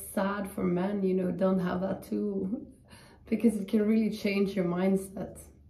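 A woman speaks at a fairly slow pace with fairly even intonation, and audible echo fills the room. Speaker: yoga teacher. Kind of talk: guided yoga class. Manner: soothing, gentle, instructional; warm, chatty. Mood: calm, friendly. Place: home room. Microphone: camera far.

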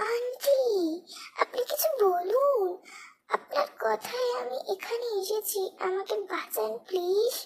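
Speaking very slowly, a woman puts on a character voice that is extremely high-pitched, with lively intonation. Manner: panicked, pleading.

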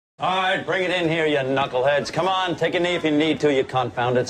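Lively intonation runs through the man's speech. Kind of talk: scripted acted monologue, sarcastic rant. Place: hall.

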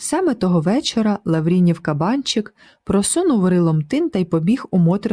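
Reading done in an unforced voice

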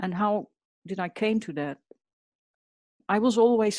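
A woman speaks with a Dutch accent, medium pitch and lively intonation. The sound is dry and close, with no echo. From Netherlands. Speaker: portrait artist. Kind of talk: interview.

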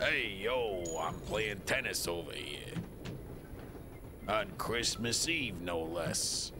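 A man's put-on character voice in a Brooklyn accent, fairly low and very slow, with long, frequent pauses over loud background noise. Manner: tough, annoyed.

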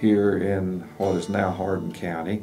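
Faint music plays behind a man's voice. He talks at a fairly slow pace with fairly low pitch. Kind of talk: interview answer. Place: studio.

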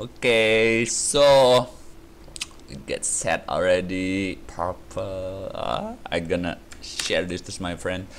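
With light background noise behind him, a man speaks at a very slow pace, his fairly low pitch showing ordinary variation. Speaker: gaming YouTuber. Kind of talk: gameplay commentary. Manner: animated; rambling, filler-heavy.

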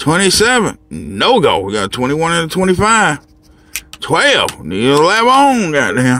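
Very slowly, a man talks with very wide pitch swings. The sound is dry with no echo, over light background noise. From Chicago. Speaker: lottery scratch-off video creator, trucker; lottery scratch-off video creator. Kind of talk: casual monologue scratching lottery tickets on camera. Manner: animated, profane. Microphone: phone near.

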